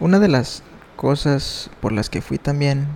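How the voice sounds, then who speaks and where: Noticeable background noise sits behind the speaker. He is a man with a Mexican accent. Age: 20s. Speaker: podcaster. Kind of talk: casual monologue.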